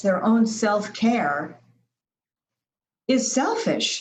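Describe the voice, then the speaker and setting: A somewhat breathy woman's voice, fairly high in pitch, with ordinary pitch variation and a very slow pace. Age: 70s. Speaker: healthy lifestyle designer. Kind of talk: interview answer.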